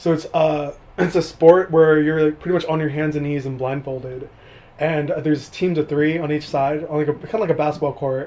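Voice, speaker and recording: Noticeable background noise sits behind a man with an American accent who talks fairly quickly at a fairly high pitch in a monotone, flat intonation. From California, Mojave Desert. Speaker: college student and gym worker. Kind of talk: casual interview. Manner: laughing often.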